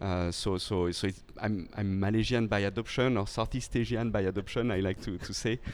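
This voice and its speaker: A man with a French accent talks at a fairly quick pace with hardly any pauses. His pitch is fairly low and his intonation fairly even. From France. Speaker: company founder and CEO. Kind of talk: podcast interview. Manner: halting, many repetitions and fillers.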